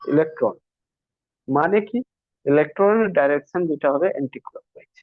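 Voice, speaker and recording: This man's voice sits high in pitch. Its rise and fall is ordinary. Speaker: physics teacher. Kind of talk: lecture.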